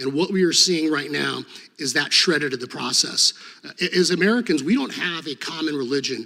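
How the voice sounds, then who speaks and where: Very fast and fairly high-pitched, a man talks with a bright, sharp tone, vocal fry and ordinary pitch variation. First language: Serbo-Croatian. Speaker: former state attorney general, hearing witness. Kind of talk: congressional hearing testimony. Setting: committee hearing room.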